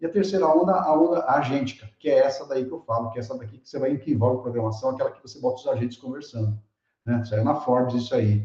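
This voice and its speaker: Talking at a very fast pace, a man with a medium pitch and ordinary pitch variation shows big swings in loudness. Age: 60s. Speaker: keynote speaker, tech educator. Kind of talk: online lecture with live chat. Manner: animated, casual; repeats words, stammering restarts.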